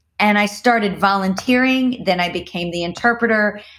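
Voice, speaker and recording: The tone is animated and the pace is moderate. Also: woman. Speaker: circus founder and performer. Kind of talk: casual interview conversation. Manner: excitable, animated.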